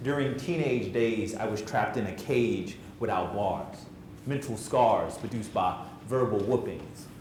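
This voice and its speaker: Noticeable background noise and audible room echo surround the recording. A man speaks at a medium pitch with ordinary pitch variation. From central New Jersey. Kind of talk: spoken word poetry performance; motivational talk to youth. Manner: fast; rhythmic, emphatic delivery.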